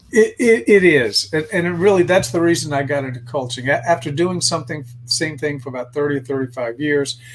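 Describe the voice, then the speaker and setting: At a fairly quick pace and with hardly any pauses, a man speaks in a somewhat breathy, fairly high-pitched voice with ordinary pitch variation. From US South (Virginia). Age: 60s. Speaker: life coach and consultant. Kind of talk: interview. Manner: halting, repeats words.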